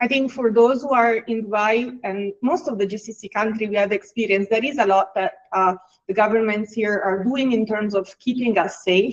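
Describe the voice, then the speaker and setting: With an Italian accent, a woman talks at a fairly high pitch and a moderate pace, with ordinary pitch variation and hardly any pauses. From Italy. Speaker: HR executive. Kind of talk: webinar interview. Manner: hesitant, many fillers.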